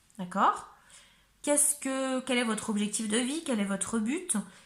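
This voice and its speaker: A woman talks at a fairly slow pace with a fairly high pitch and lively intonation. Noticeable background noise runs underneath. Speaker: tarot reader. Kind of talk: tarot reading; casual chat.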